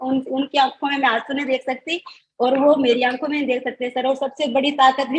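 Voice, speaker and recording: A high-pitched woman at a moderate pace, in a dry, close sound with no echo. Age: 40s. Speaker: student who passed an accounting exam, mother. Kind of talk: interview about exam success.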